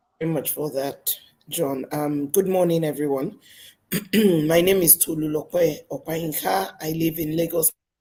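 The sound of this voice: A woman speaks at a fairly slow pace in a low, raspy voice with a dark, mellow tone. There is a slightly husky edge to it. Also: fairly even intonation.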